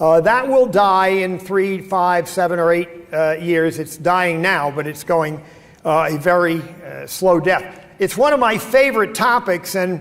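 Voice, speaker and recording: Over noticeable background noise and audible room echo, a man with an American accent talks at a fairly slow pace in a high pitch with ordinary pitch variation. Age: 70s. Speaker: keynote speaker. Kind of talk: conference talk. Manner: hesitant, many fillers.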